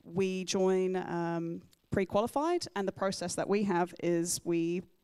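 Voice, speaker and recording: In a slight English accent, a woman speaks at a fairly slow pace with a fairly low pitch, a dark, mellow tone and a monotone, flat intonation. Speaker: military photographer. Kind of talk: Q&A talk at club meeting. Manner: halting, many fillers.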